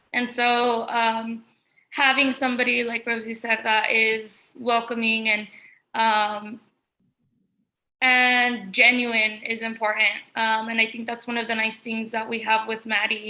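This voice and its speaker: A woman with a Spanish accent, fairly high in pitch, monotone and flat, at a fairly slow pace. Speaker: artist. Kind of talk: panel discussion. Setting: art gallery, livestream.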